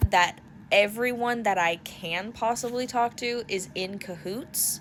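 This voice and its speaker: This woman's voice is loud, with lively intonation. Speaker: haunt industry content creator. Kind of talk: casual vlog monologue. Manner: animated.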